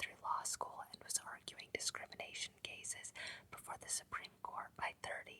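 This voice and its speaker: A whispering voice speaks at a moderate pace. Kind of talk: whispered ASMR book reading. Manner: whispered, soft-spoken.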